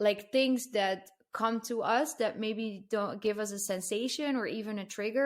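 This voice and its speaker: Speaking with a non-native accent, the woman keeps a moderate tempo. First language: not English. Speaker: marketing strategist and podcaster. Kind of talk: casual podcast interview. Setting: podcast recording.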